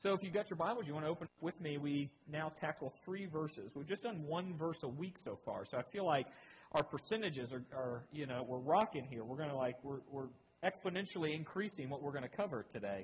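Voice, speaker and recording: With lively intonation and a fairly quick pace, a man talks at a fairly high pitch in an unremarkable speaking voice. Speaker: pastor. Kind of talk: sermon.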